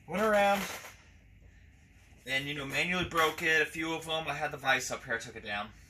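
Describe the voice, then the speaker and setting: A man speaks with ordinary pitch variation. Background noise is noticeable. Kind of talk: tutorial. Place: workshop.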